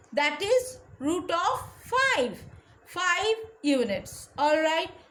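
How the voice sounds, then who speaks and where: A woman's voice sits extremely high and swings very widely in pitch. Audible room echo surrounds it. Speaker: school teacher. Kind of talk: lecture. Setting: recorded online class. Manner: slow.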